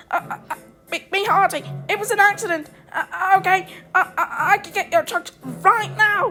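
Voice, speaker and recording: A woman uses a put-on character voice at an extremely high pitch with a nervous tone and long, frequent pauses. She keeps a moderate pace over faint music in the background. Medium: dub. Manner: stammering, nervous.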